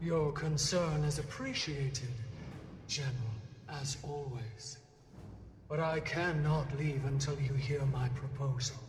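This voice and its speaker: In a put-on character voice with a low-to-middle pitch, the speaker goes at a fairly slow pace with fairly even intonation and long, frequent pauses, heard with a slight echo and clear background noise. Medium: video game. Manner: formal, commanding.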